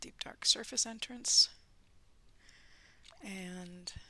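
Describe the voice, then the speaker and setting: The woman's pitch is medium. Her pace is very slow. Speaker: gaming YouTuber. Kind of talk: let's play commentary. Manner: hesitant, many fillers; whispering at times.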